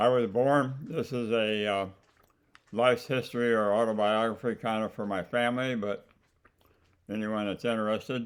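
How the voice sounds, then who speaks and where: Using monotone, flat intonation, a man with an American accent speaks at a medium pitch and moderate pace with long, frequent pauses. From US Midwest, central Illinois. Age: 90s. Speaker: grandfather telling his life story. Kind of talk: autobiographical reminiscence. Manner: halting, many fillers.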